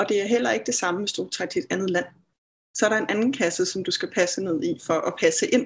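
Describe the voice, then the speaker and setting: A woman's fairly high, somewhat breathy voice at a fairly quick pace, with very wide pitch swings. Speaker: therapist and healer. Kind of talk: interview. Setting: video call.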